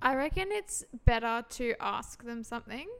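A woman's fairly high voice with an Australian accent and ordinary pitch variation. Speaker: podcast co-host. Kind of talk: casual chat.

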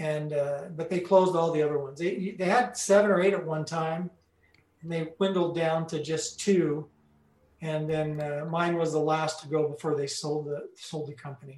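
With an American accent, the speaker has a normal speaking voice and fairly even intonation. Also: man, fairly high pitch for a man, moderate pace. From US Pacific Northwest, Salem, Oregon. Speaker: former entertainment center manager and roller hockey player. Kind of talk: interview.

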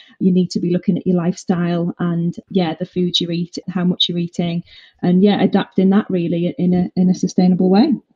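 A woman with a northeast English accent talks at a fairly quick pace in a monotone, flat intonation, her voice somewhat breathy. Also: fairly low pitch for a woman. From northeast England. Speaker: fitness instructor. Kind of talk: interview.

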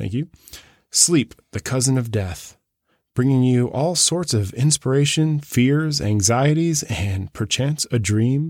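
Speaking at a very slow pace, a man with a medium pitch uses lively intonation in a dry, close sound with no echo. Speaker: podcast host. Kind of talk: casual chat. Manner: halting.

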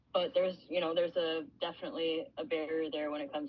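A woman talks at a very fast pace. Her fairly low voice has lively intonation. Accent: American. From Illinois, US. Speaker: professional hockey player. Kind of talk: casual interview chat.

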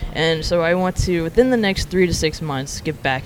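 A fairly quick pace in an American accent, with noticeable background noise. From Alabama, US South. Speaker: former psychology researcher, barista. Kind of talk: interview.

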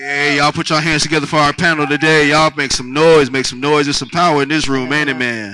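A man's fairly high-pitched voice at a very fast pace, with fairly even intonation and hardly any pauses. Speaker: panel moderator. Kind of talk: panel moderation. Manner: casual and profane.

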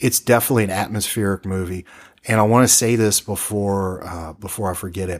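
With a plain, everyday voice, a man speaks at a moderate pace and a fairly low pitch, using ordinary pitch variation on a very clean recording with a silent background. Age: 40s. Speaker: radio-style horror film podcast host. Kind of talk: casual chat about films.

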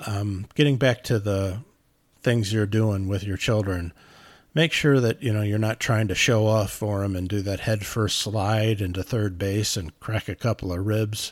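On a very clean recording with a silent background, a man in a normal speaking voice talks fairly slowly at a fairly low pitch. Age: 50s. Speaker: parenting advice vlogger. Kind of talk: casual monologue. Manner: conversational with frequent fillers.

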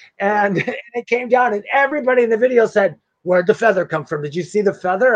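A man talks very fast in a high voice with lively intonation. The sound is dry and close, with no echo. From Wisconsin. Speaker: psychic medium. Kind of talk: casual interview chat; card reading.

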